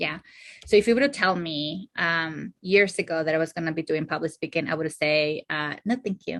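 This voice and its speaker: This woman has a non-native accent and a fairly low pitch, speaking at a moderate pace with ordinary pitch variation. The sound is dry and close with no echo, over a quiet background. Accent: foreign. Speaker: therapist and clinical supervisor. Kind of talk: casual interview. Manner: hesitant, many fillers.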